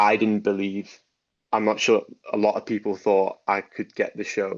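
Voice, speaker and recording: Here a man speaks with a Liverpool accent. He keeps a moderate pace. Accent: Scouse (Liverpool). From Liverpool, England. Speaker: actor and dance teacher. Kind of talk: interview.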